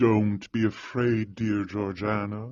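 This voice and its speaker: In a put-on character voice, a man speaks at a fairly slow pace with a fairly low pitch and monotone, flat intonation. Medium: read story. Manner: earnest, self-assured.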